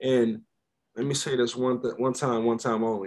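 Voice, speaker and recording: A man talks at a moderate pace with medium pitch. He has an ordinary speaking voice. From Frederick, Maryland. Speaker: podcast guest. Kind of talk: casual chat.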